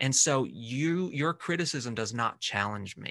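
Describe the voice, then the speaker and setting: A man with a normal speaking voice and lively intonation at a moderate pace, quiet background. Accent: American. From US South. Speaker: social media personality. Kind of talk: casual chat.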